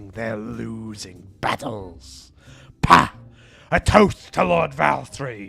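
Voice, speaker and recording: Using a put-on character voice, a man speaks very slowly at a fairly low pitch while music plays in the background. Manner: exaggerated.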